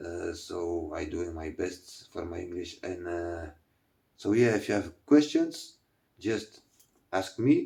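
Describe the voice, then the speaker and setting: A man with a dark, mellow tone speaks at a very slow pace. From Belgium. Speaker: fishing YouTuber reviewing gear. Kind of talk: product review. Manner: halting, many fillers and repetitions.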